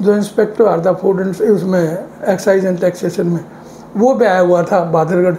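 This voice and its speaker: Over noticeable background noise, a high-pitched man speaks at a moderate pace with fairly even intonation. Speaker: elder sharing village memories. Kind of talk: interview storytelling.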